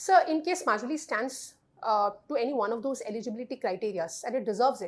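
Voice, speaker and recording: Her voice high in pitch, a woman speaks at a very fast pace with lively intonation. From India, Assam. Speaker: civil services candidate. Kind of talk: mock job interview. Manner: formal.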